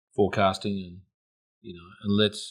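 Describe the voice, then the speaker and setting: With an Australian accent, a man speaks at a moderate pace. His fairly low voice is monotone and flat. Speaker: podcast host. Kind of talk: casual chat.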